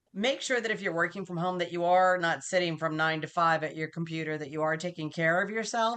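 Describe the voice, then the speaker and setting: A very fast woman's voice, fairly low in pitch, with ordinary pitch variation and hardly any pauses. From US Northeast (Massachusetts). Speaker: business continuity professional. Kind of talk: interview. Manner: fast talker.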